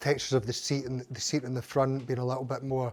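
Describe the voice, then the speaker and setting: Someone with a Glaswegian accent talks at a fairly quick pace on a very clean recording with a silent background. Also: man. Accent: Glaswegian Scottish. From Scotland, Glasgow. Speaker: pub owner. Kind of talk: casual interview. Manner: halting.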